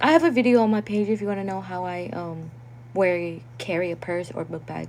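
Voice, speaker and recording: A woman at a medium pitch with a non-native accent, fairly quick pace, ordinary pitch variation, and big swings in loudness. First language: not English. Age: 20s. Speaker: content creator. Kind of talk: livestream chat reading comments. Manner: casual, filler-heavy.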